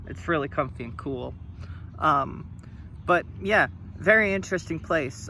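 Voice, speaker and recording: With vocal fry and a bright, sharp tone, a man speaks at a fairly slow pace with long, frequent pauses, very wide pitch swings and big swings in loudness. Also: fairly high pitch for a man. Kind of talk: casual talk to camera. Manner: halting, with stops and stutters.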